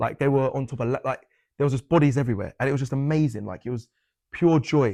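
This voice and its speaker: Over a quiet background, a man talks at a very fast pace in a fairly high pitch with ordinary pitch variation and a dark, mellow tone, the sound dry and close with no echo. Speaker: football presenter. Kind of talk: interview.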